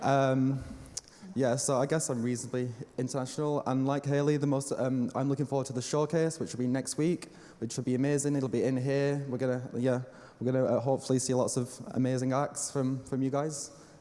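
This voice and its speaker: A man's medium-pitched voice with a Lancashire accent, a fairly quick pace, monotone, flat intonation and very even loudness. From northern England, Lancashire. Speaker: event coordinator. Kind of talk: welcome speech.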